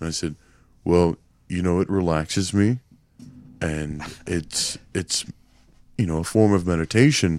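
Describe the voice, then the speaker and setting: Delivered at a fairly slow pace with long, frequent pauses, a man's very deep, low voice shows ordinary pitch variation, with a dry, close sound with no echo on a very clean recording with a silent background. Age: 30s. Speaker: podcast co-host. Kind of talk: casual chat. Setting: live podcast recording.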